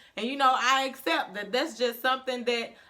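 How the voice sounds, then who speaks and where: In a strong Southern US accent, the speaker talks at a moderate pace in a raised, projected voice with an animated tone. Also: woman. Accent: strong Southern country. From Mississippi. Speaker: vlogger. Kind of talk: casual vlog monologue. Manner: loud.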